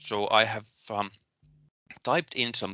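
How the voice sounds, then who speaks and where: Very slowly, a man speaks with a Finnish accent at a medium pitch. His tone is bright and sharp. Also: dry, close sound with no echo, quiet background. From Finland. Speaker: university lecturer. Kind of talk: lecture. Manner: halting, many fillers and repetitions.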